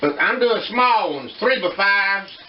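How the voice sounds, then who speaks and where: Someone speaks with a Southern US accent over noticeable background noise. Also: man. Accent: Southern US (Georgia). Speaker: home cooking video host. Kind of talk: cooking tutorial. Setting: home kitchen. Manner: casual, folksy.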